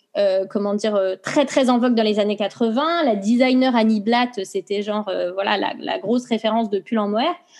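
Over noticeable background noise, a woman talks at a moderate pace with hardly any pauses. Her fairly high pitch shows ordinary variation. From France. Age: 30s. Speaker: knitting brand founder. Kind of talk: interview.

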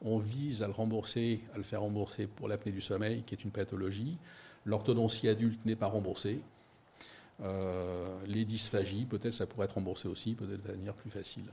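A man speaks in a fairly low, somewhat breathy voice with a dark, mellow tone. His intonation stays fairly even. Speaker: company founder. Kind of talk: investor pitch interview. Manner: hesitant.

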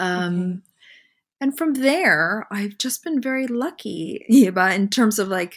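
Using an unremarkable speaking voice, a woman talks at a fairly slow pace with a fairly high pitch and lively intonation. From Canada (Montreal). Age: 40s. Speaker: magazine publisher and fashion director. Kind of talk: casual interview.

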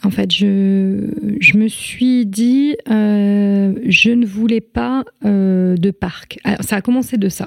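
At a very slow pace yet with hardly any pauses, a woman speaks at medium pitch with ordinary pitch variation. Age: 30s. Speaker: former history-geography teacher and mother. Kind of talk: interview about parenting experience. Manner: hesitant, many fillers.

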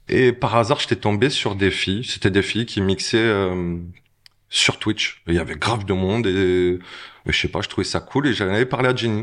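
A man's normal speaking voice, fairly low in pitch with ordinary variation, at a moderate pace over a quiet background. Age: 40s. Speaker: DJ. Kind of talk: casual interview chat. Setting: restaurant.

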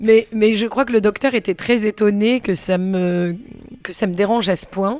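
A woman talks with ordinary variation in her pitch. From Provence, France. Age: 40s. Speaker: singer and performer. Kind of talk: casual interview. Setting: bar. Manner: halting, repeats words.

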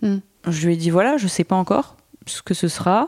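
A woman speaks at a moderate pace in a medium pitch. The sound is dry and close, with no echo. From northern France, Boulogne-sur-Mer. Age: 30s. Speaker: content creator. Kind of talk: interview conversation.

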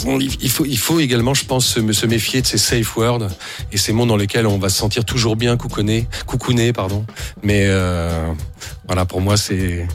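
A man with a fairly low pitch and ordinary pitch variation speaks at a moderate pace with very even loudness and long, frequent pauses, against noticeable background noise and audible room echo. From France (Blois). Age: 40s. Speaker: independent musician. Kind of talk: radio interview. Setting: studio. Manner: hesitant, many fillers.

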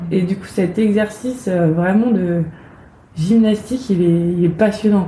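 Over noticeable background noise, a woman speaks very slowly at a medium pitch with fairly even intonation. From Brittany, France (village near Rennes). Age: 30s. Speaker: actress and playwright. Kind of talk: interview.

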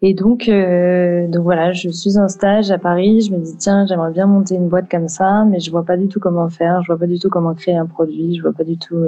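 Against music in the background, a woman with fairly low pitch talks at a moderate pace in a monotone, flat intonation with hardly any pauses. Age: 20s. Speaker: entrepreneur, founder of a women's wellness brand. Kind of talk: interview. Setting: studio. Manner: hesitant, many fillers.

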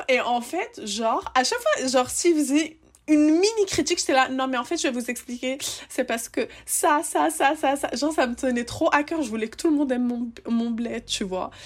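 A woman talks at a moderate pace in a high voice. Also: lively intonation. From Tunisia, Tunis. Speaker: podcast host. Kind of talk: casual chat. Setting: remote recording.

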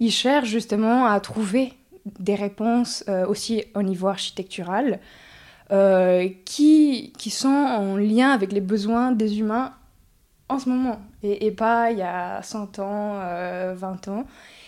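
A woman speaks very slowly in a fairly high pitch, with long, frequent pauses. The recording is very clean, with a silent background. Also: ordinary pitch variation. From Mexico (Mexico City, Oaxaca). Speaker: breathwork facilitator. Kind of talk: interview. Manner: gentle.

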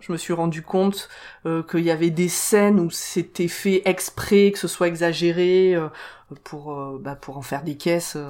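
A woman has an unremarkable speaking voice, pitched fairly low. Her intonation is lively, with big swings in loudness. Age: 30s. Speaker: podcast co-presenter, film fan. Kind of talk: casual chat.

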